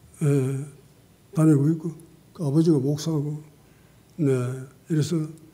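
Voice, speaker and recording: A man's fairly high, dark and mellow voice, somewhat breathy, flat and monotone in intonation, at a fairly slow pace, with audible room echo. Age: 80s+. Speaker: pastor. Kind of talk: sermon.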